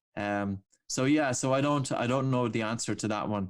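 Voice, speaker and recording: With an Irish accent, a man speaks at a moderate pace. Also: very clean recording, silent background. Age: 40s. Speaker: breathing coach. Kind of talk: interview. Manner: animated.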